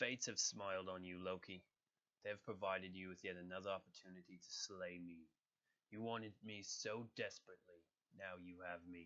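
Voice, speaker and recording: A man's rumbling, put-on character voice, very deep and low in pitch, at a fairly quick pace. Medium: voice reel. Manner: very serious, grumbling, formal.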